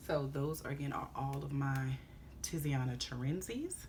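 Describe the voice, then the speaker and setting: Fairly slow female speech in a space with audible room echo. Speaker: fragrance reviewer. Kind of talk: product review video. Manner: casual.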